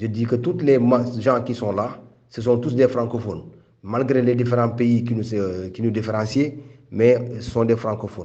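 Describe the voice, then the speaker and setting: A man speaks in a Senegalese accent with a dark, mellow tone. His pace is moderate. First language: Wolof (speaking French). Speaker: migrant rights activist. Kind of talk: interview testimony. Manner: halting.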